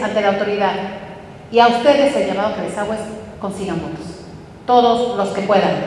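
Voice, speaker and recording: A woman speaks at a moderate pace while noticeable background noise runs behind her. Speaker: political panelist. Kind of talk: panel discussion. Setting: stage with audience.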